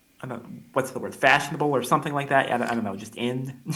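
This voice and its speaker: A man's bright, sharp voice at medium pitch, fairly quick, with audible room echo. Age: 20s. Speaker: college student. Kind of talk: interview. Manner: halting, many repetitions and fillers.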